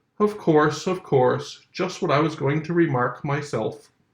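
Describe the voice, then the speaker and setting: A man puts on a character voice that is hoarse and fairly high in pitch. He keeps a moderate pace with ordinary pitch variation. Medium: read story. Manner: drowsy.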